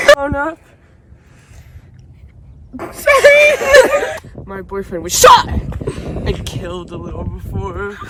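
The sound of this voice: Using a put-on character voice, a woman speaks at a very slow pace with long, frequent pauses. Her high pitch takes big swings, and her tone is fairly bright.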